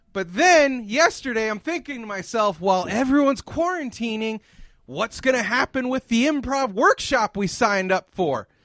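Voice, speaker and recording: Shouting in an angry tone, a man speaks at a moderate pace in a dry, close sound with no echo. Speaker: comedy podcast host. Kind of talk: comedy podcast rant. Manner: screaming, angry.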